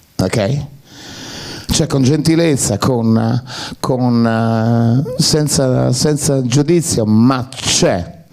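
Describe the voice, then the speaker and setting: Over noticeable background noise, a man talks at a very slow pace with long, frequent pauses. His medium pitch shows ordinary variation, and his loudness stays very even. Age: 60s. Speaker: actor. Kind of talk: public Q&A talk. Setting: cinema with audience.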